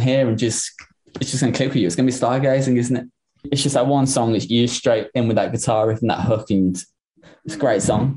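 A man's somewhat breathy, dark, mellow voice at medium pitch, with an English accent and a fairly quick pace. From Liverpool, England. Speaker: drummer in a rock band. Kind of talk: interview. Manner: hesitant, many fillers.

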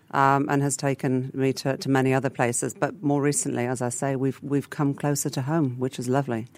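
With an English accent, a woman speaks in a very deep, low pitch and a monotone, flat intonation, with hardly any pauses. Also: fairly quick pace. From England. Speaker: food business founder. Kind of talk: radio interview. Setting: radio studio.

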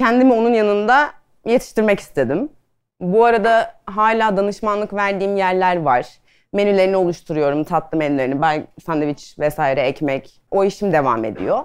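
Over a quiet background, a woman at a medium pitch talks at a moderate pace with very wide pitch swings. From Adana, Turkey. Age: 30s. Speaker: pastry chef and food stylist. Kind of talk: casual talk to an audience. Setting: talk on stage with audience.

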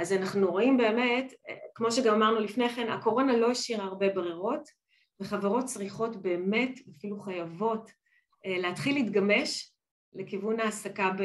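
This woman has an ordinary speaking voice, fairly high in pitch. Her pace is fairly slow, and her pitch varies in an ordinary way. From Israel. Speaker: business partnerships director. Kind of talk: interview.

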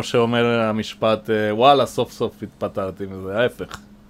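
A man talks with a Spanish accent. His pace is very slow. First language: Spanish (speaking Hebrew). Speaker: boat maintenance manager. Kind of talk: interview. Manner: hesitant with fillers.

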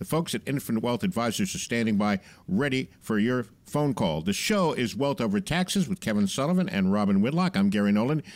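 With very wide pitch swings and an upbeat tone, a man at a medium pitch is heard in a very clean recording with a silent background. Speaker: radio show host and consumer advocate. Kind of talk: radio talk show hosting, reading listener questions. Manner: upbeat, jokey.

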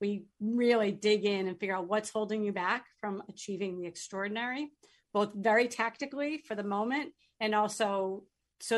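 With an American accent and a plain, everyday voice, a woman speaks at a moderate pace and medium pitch, her intonation fairly even against a quiet background. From northern Massachusetts. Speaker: sales coach. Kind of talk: radio interview.

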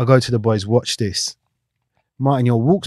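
A man with a South London accent speaks at a moderate pace. The sound is dry and close with no echo, over a quiet background. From South London (Battersea/Clapham). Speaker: retired footballer. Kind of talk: casual interview.

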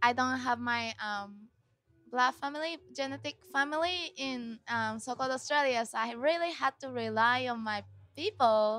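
A woman with a Japanese accent, high in pitch with ordinary pitch variation, at a fairly slow pace, on a very clean recording with a silent background. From Japan (Tokyo). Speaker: musician. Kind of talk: interview. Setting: backstage at music festival.

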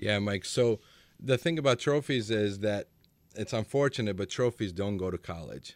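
A man with a Macedonian accent speaks at a moderate pace and fairly low pitch with lively intonation, recorded very cleanly against a silent background with a dry, close sound and no echo. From North Macedonia. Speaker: youth soccer coach. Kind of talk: radio interview. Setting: studio.

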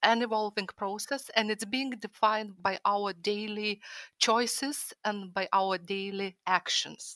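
A woman's fairly high, bright, sharp voice at a fairly slow pace, fairly even intonation, dry and close with no echo, on a very clean recording with a silent background. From Lithuania. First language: Lithuanian. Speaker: historical fiction author and art historian. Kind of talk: panel discussion.

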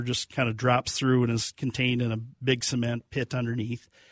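A man's medium-pitched voice, monotone and flat, at a fairly quick pace in a dry, close sound with no echo. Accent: Upper Midwest. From Minnesota, Kenyon area. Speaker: pig farmer. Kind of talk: casual interview. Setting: studio.

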